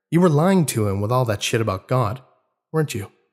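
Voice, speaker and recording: Somewhat breathy, a man speaks in a very clean recording with a silent background. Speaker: narrator. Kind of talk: dramatic horror audiobook reading.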